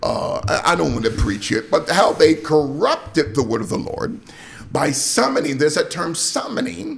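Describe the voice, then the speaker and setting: Music plays behind a man who talks at a fairly slow pace. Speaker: pastor and radio host. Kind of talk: preaching / sermon-style commentary. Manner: emphatic, rhetorical, questioning.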